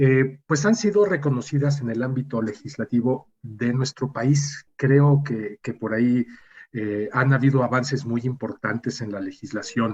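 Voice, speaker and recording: Somewhat breathy at a medium pitch, a man talks at a fairly slow pace with ordinary pitch variation. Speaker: radio host. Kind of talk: radio interview.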